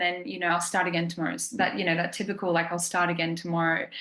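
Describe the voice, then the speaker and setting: A woman with an Australian accent talks at a very fast pace. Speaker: program client. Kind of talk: testimony. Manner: casual, many fillers.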